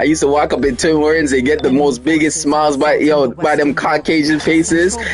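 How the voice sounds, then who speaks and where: Amid noticeable background noise, a man talks at a fairly quick pace in a medium pitch with ordinary pitch variation. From Canada. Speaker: livestreaming gamer. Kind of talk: casual chat.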